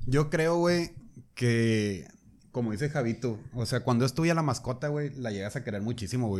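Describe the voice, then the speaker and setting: A man with an ordinary speaking voice holds a medium pitch, and his pitch varies in an ordinary way. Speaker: podcast guest. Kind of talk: casual chat.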